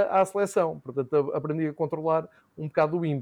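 A man against a quiet background. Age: 40s. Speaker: football commentator and podcaster. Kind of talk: casual chat.

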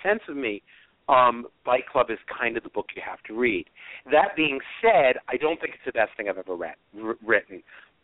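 Speaking in an ordinary speaking voice, a man of medium pitch talks at a fairly quick pace with big swings in loudness. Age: 50s. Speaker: author. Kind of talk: casual chat.

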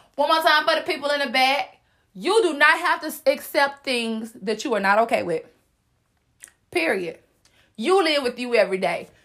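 A woman with an American accent speaks loudly at a moderate pace in a high, animated voice with very wide pitch swings and long, frequent pauses, on a very clean recording with a silent background. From US South. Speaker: podcast host. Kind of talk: motivational solo podcast.

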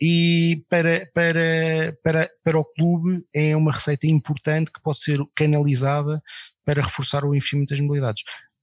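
Speaking at a moderate pace, a man uses a monotone, flat delivery at a fairly high pitch. The sound is dry and close with no echo, over a quiet background. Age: 40s. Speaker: football club election campaigner. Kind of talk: casual chat.

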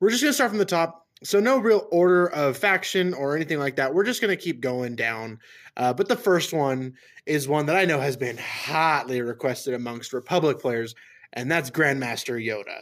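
A normal speaking voice, a man's, fairly high in pitch and moderate in pace, on a very clean recording with a silent background. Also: lively intonation. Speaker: podcast host. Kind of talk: casual chat.

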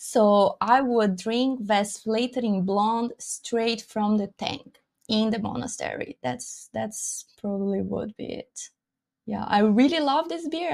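With a Brazilian accent and lively intonation, a woman speaks very slowly at a fairly high pitch. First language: Portuguese. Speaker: beer sommelier and educator. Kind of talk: casual interview.

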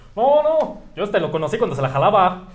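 A man with a Mexican accent is heard through noticeable background noise and audible room echo. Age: 20s. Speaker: TikTok creator. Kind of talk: casual chat.

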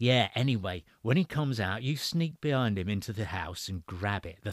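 Lively intonation marks a natural reading voice.

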